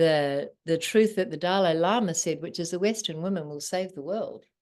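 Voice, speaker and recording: A woman with a New Zealand accent talks at a moderate pace and a fairly low pitch, with ordinary pitch variation and big swings in loudness. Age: 60s. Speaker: spiritual teacher. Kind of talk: interview. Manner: animated.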